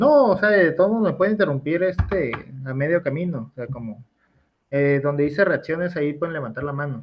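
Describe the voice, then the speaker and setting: Lively intonation marks speech delivered fairly quickly. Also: man, fairly high pitch for a man. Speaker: university law lecturer. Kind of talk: online class lecture. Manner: fast.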